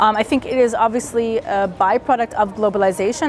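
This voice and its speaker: Over music in the background, a woman with an American accent talks at a fairly quick pace in a fairly high pitch. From Williamsburg, Brooklyn, USA. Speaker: author. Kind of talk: interview answer.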